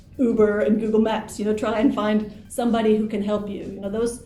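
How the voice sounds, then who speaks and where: A woman with an American accent talks at a moderate pace in a fairly high, monotone, flat voice, with noticeable background noise and audible room echo. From US Pacific Northwest, Portland, Oregon. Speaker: English teacher and teacher trainer. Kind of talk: interview.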